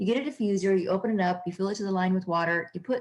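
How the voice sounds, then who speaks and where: Talking at a very fast pace, a woman sounds somewhat breathy, her intonation fairly even. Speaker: holistic health practitioner. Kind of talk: recorded online class.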